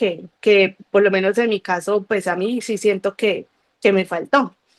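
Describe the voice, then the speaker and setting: A woman's ordinary speaking voice in a medium pitch, fairly slow and fairly even in intonation, with a dry, close sound and no echo. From Colombia, Cali. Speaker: guest giving a faith testimony. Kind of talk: testimony.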